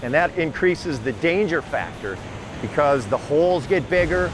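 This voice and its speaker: A man talks at a moderate pace. Background music accompanies him. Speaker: old adventure storyteller. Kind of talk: reflective narration to camera.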